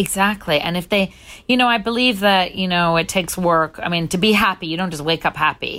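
With a fairly low pitch and a fairly quick pace, a woman speaks in a normal speaking voice, captured in a very clean recording with a silent background. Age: 40s. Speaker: DJ. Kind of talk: interview.

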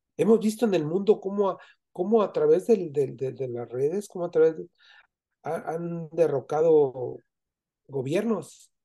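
A man's high-pitched voice with a dark, mellow tone, a fairly slow pace, lively intonation and big swings in loudness over a quiet background. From Mexico, Zamora, Michoacán. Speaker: Freemason. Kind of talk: interview. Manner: halting.

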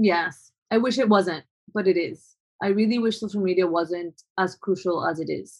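The pace here is moderate. A Spanish accent marks the speech. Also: woman, medium pitch for a woman, fairly even intonation. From Colombia. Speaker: photographer. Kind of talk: interview. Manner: halting, many fillers.

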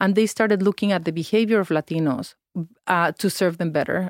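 A woman with a Spanish accent talks at a fairly quick pace and medium pitch with ordinary pitch variation, in a very clean recording with a silent background and a dry, close sound with no echo. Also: very even loudness. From Mexico. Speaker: nonprofit founder and former diplomat. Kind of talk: interview. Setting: studio.

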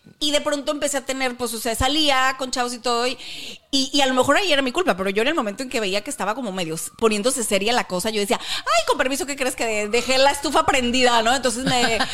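A high-pitched woman's voice at a very fast pace, with ordinary pitch variation and noticeable background noise. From northern Mexico. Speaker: podcast co-host. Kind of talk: casual chat.

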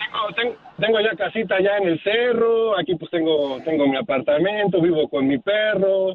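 A man's high voice with lively intonation, a moderate pace and hardly any pauses. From Mexico, Puebla. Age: 30s. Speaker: caller. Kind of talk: casual chat.

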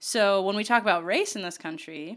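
A normal speaking voice on a very clean recording with a silent background. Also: woman. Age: 30s. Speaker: diversity and inclusion trainer and public speaker. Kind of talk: casual interview chat.

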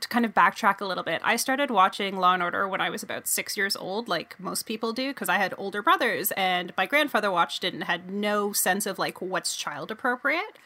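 The speech moves at a fairly quick pace with hardly any pauses and ordinary pitch variation, over noticeable background noise. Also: woman, medium pitch for a woman. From Canada, Toronto. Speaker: sports journalist and podcaster. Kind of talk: casual chat.

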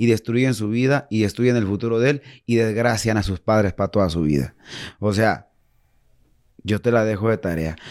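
Recorded very cleanly against a silent background, a man with a fairly low voice speaks at a moderate pace, using ordinary pitch variation and long, frequent pauses. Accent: Mexican. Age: 40s. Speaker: musician in addiction recovery. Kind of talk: interview. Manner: animated.

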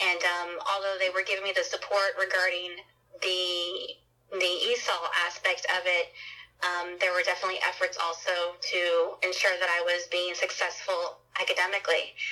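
Noticeable background noise sits behind a woman at medium pitch and moderate pace. Her intonation is monotone and flat, her loudness very even. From US, children of Mexican migrant farm workers. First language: Spanish. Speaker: nonprofit president, educator. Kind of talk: interview.

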